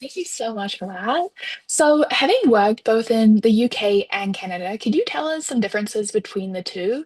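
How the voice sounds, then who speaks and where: A woman speaks with a New Zealand accent and lively intonation. Her loudness rises and falls a lot. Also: fairly high pitch for a woman, moderate pace. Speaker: student moderator. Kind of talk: webinar interview.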